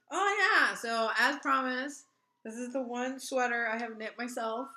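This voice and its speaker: Audible room echo follows a woman whose high pitch shows ordinary variation. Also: moderate pace. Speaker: knitting podcast co-host. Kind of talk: casual chat.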